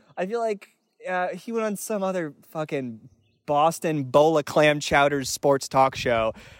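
On a very clean, dry, close recording with no echo and a silent background, a man with an American accent uses a normal speaking voice, fairly high in pitch, with lively intonation. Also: fairly slow pace. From North Carolina, US South. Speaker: podcast guest, sports fan. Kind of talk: casual comedic chat.

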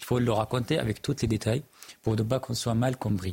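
A man speaks at a moderate pace in a medium pitch. His voice is somewhat breathy. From Middle East. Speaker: journalist and writer. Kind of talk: televised panel debate.

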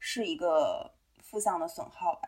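Lively intonation marks a woman's fairly high voice, an unremarkable speaking voice. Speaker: podcast co-host. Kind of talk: casual chat.

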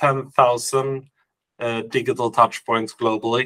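A man with a Swedish accent, medium pitch, and a fairly slow pace. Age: 40s. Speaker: company CEO. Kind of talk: interview.

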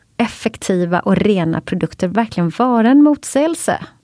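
Speaking with a Swedish accent, a woman uses lively intonation in a dry, close sound with no echo. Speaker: podcast co-host. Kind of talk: scripted intro.

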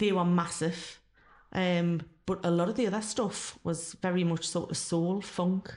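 This woman has a plain, everyday voice, pitched fairly low. She talks at a fairly slow pace with fairly even intonation. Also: very even loudness. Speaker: former club singer, ex-tax worker. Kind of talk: casual interview.

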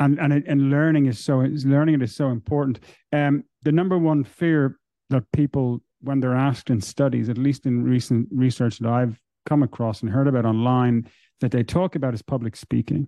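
Using a plain, everyday voice, a man speaks at a moderate pace with fairly even intonation. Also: medium pitch for a man. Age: 40s. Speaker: podcast host. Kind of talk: interview. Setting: live stream.

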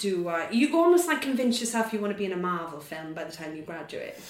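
Someone with a Welsh accent is heard over noticeable background noise. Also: woman. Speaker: actor. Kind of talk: casual interview chat.

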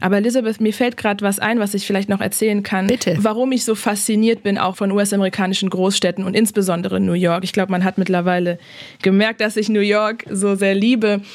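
Over noticeable background noise, a woman speaks very fast at a medium pitch, her intonation monotone and flat and her loudness very even. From Germany. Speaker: human rights lawyer. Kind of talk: interview. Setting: remote call.

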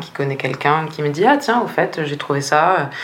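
Her very deep, low voice comes at a moderate pace as the woman speaks amid audible room echo and noticeable background noise. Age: 20s. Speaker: strategic planner at a communications agency. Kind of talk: interview. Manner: hesitant, many fillers.

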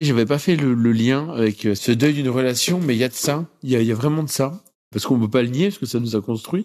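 A man's medium-pitched voice at a very fast pace, with very even loudness and ordinary pitch variation. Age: 30s. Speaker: testimony contributor. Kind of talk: testimony. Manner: halting.

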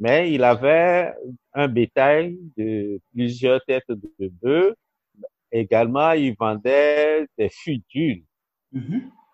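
Speaking at a very slow pace with long, frequent pauses, a man with a medium-pitched voice uses lively intonation. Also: dry, close sound with no echo. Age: 60s. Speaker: education director. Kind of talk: interview.

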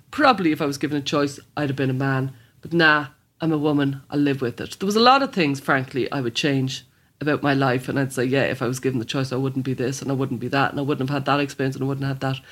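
A very fast Dublin accent on a very clean recording with a silent background. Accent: Dublin Irish. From Ireland, Dublin (Blanchardstown). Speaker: psychotherapist and author. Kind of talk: interview.

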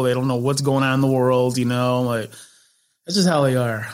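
A man with an American accent has a plain, everyday voice at a medium pitch. He speaks at a moderate pace with fairly even intonation. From Chicago, US Midwest. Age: 30s. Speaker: comedian and TV personality. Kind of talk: casual chat.

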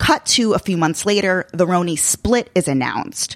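A woman with an American accent and an unremarkable speaking voice talks at a fairly slow pace and a medium pitch. Her intonation is lively, and the recording is dry and close with no echo. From Long Island, New York. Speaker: podcast host. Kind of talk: casual chat.

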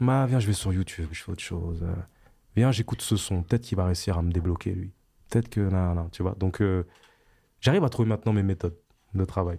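A man with a very deep, low voice and a dark, mellow tone talks at a fairly quick pace, somewhat breathy, with ordinary pitch variation. He leaves long, frequent pauses, and the recording is very clean with a silent background. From France, Val-d'Oise (Paris suburbs), Antillean family. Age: 30s. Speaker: rapper. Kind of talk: interview. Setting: studio.

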